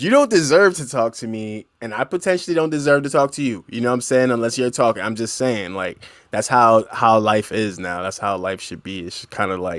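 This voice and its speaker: A man speaks at a fairly quick pace with hardly any pauses, his pitch medium and his intonation lively. His loudness swings widely, and the recording is very clean with a silent background. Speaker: podcast host. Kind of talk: casual monologue. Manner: casual, rambling.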